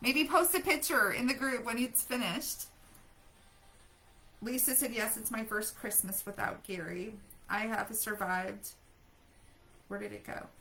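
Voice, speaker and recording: A woman's raised, projected voice, moderate in pace, with lively intonation. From Germany. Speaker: grief coach and widow support group host. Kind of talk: live stream chat reading viewer comments. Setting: live stream.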